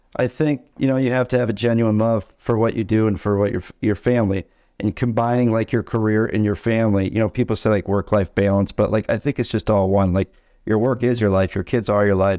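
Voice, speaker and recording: A man with an American accent speaks at a fairly quick pace in a fairly low pitch and a dark, mellow tone. His intonation is fairly even, his loudness very even, and the background quiet. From Michigan (Tawas). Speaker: mortgage branch manager. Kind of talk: casual interview.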